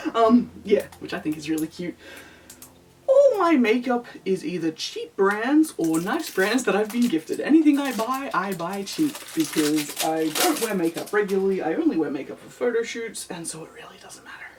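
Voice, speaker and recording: With an Australian accent, a woman talks at a moderate pace in a fairly high pitch, making very wide pitch swings and big swings in loudness over noticeable background noise. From Australia, NSW. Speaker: lolita fashion YouTuber. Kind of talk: casual makeup vlog. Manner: mutters and trails off.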